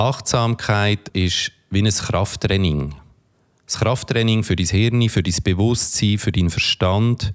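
The speech moves at a very slow pace. Pitch varies in an ordinary way. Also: man, very even loudness. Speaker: podcast host and meditation coach. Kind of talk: guided meditation.

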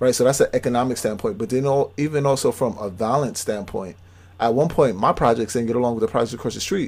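In a very clean recording with a silent background, a man speaks at a very fast pace. His voice sits at a medium pitch with ordinary pitch variation. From New York City, Brooklyn (Brownsville). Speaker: podcast co-host. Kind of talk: casual chat.

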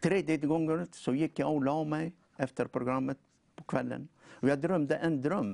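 At a fairly high pitch and a fairly slow pace, a man speaks in a normal speaking voice with fairly even intonation and a dry, close sound with no echo. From North Africa. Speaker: preacher. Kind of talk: testimony; sermon.

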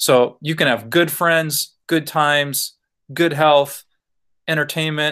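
Here a man with a plain, everyday voice speaks at a fairly high pitch and a fairly slow pace. The recording is very clean, with a silent background. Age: 40s. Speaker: pastor. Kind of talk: casual chat.

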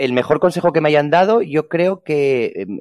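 Over a quiet background, a man speaks at a moderate pace with ordinary pitch variation in a dry, close sound with no echo. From Spain, Ponferrada (León). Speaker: hotel PR manager and food blogger. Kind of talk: interview.

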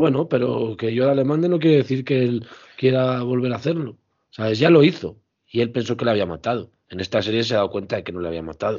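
A man talks very fast, his medium-pitched voice carrying lively intonation. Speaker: podcast co-host. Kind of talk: casual chat.

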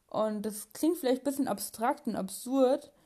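Woman with a dark, mellow tone, moderate pace and ordinary pitch variation, against a quiet background. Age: young. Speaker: podcast host. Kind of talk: casual monologue. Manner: halting, many fillers.

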